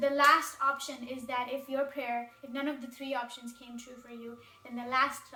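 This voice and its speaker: With noticeable background noise and audible room echo, a woman speaks at a moderate pace in a raised, projected, high-pitched voice with monotone, flat intonation. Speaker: spiritual video creator. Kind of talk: talking-head video monologue. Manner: casual, conversational.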